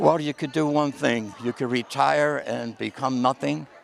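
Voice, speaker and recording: With music in the background, a man talks at a moderate pace in an American accent. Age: 70s. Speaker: community volunteer, award honoree. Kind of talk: interview.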